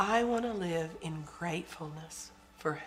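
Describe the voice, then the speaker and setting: A woman speaks at a fairly slow pace with ordinary pitch variation. Noticeable background noise runs underneath. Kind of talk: teaching talk.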